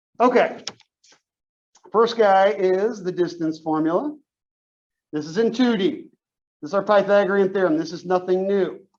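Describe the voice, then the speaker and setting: With audible room echo, a man with a high pitch talks at a moderate pace, leaving long, frequent pauses. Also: ordinary pitch variation. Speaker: math teacher. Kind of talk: lecture.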